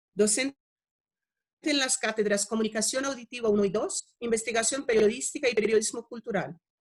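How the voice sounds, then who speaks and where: In a Portuguese accent, a woman speaks at a fairly quick pace with fairly high pitch, ordinary pitch variation and a somewhat breathy voice, in a dry, close sound with no echo. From Brazil. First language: Portuguese (speaking Spanish). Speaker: radio researcher and panel moderator. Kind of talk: moderating online panel, reading introductions. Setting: video call. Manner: formal.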